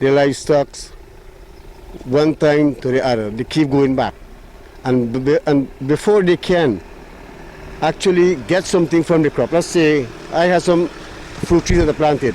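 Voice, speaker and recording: A man with fairly high pitch speaks at a moderate pace with very even loudness and long, frequent pauses. Noticeable background noise is present. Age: 60s. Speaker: farmer. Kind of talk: news interview. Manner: halting.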